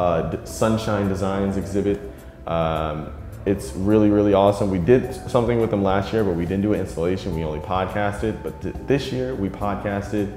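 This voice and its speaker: With clear music in the background and audible room echo, a man talks at a moderate pace with ordinary pitch variation. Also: fairly low pitch for a man. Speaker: podcaster. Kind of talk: interview answer. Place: hall.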